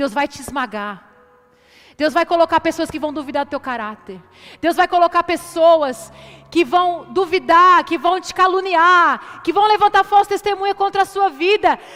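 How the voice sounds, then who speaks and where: Animated and lively in intonation, a woman speaks at an extremely high pitch with a bright, sharp tone. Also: moderate pace. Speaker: preacher. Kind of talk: sermon.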